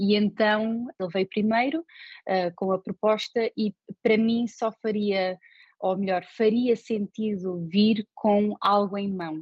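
A woman's very slow, medium-pitched speech with fairly even intonation. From Portugal. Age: 30s. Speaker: designer. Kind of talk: interview. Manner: halting.

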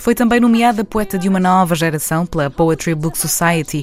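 Over noticeable background noise, a woman talks at a fairly quick pace. Her pitch is fairly low, with ordinary variation. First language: Portuguese. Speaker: radio presenter. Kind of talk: scripted narration.

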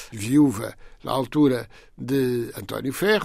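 The speaker is a man with a fairly high pitch. The recording is very clean, with a silent background. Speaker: author. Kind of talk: interview conversation.

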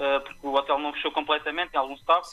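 This man's voice sits at a fairly high pitch. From Portugal, Tomar. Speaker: professional cook. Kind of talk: interview. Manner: halting.

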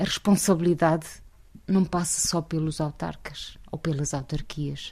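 With a very deep, low pitch and a dark, mellow tone, a woman speaks at a fairly slow pace, somewhat breathy, her intonation lively. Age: 50s. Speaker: local election candidate. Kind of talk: interview.

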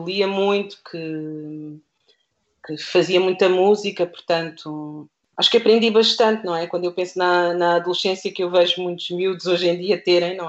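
A woman with an ordinary speaking voice talks at a fairly slow pace and medium pitch. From Portugal, Lisbon south bank (Seixal). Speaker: primary school teacher. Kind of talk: radio interview.

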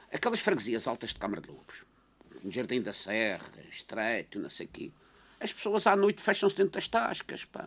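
The speaker's pitch swings very widely and the loudness rises and falls sharply. The pace stays moderate. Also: man, medium pitch for a man. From Madeira (São Vicente), Portugal. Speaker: political commentator, army veteran. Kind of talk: radio panel discussion.

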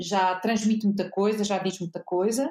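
A woman's voice at a medium pitch. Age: 50s. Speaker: journalist. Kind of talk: interview. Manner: hesitant, many fillers.

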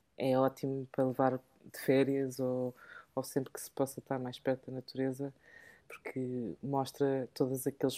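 A woman with a very deep, low pitch, a dark, mellow tone and a moderate pace. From England. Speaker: podcast co-host. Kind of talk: casual chat. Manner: halting.

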